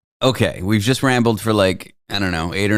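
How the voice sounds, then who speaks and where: A man with a Canadian accent talks at a fairly quick pace in a normal speaking voice, medium in pitch, on a very clean recording with a silent background. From Toronto, Canada. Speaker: talk show host. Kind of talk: casual chat.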